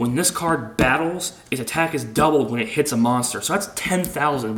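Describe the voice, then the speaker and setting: A man speaks at a fairly quick pace and a fairly high pitch, his intonation lively. Noticeable background noise runs under his voice. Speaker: card game player presenting a deck. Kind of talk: deck profile tutorial. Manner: stuttering.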